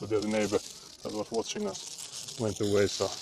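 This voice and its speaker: A man speaks with a Finnish accent at a fairly low pitch with ordinary pitch variation. There is noticeable background noise. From Finland. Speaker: livestreamer. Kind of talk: casual chat.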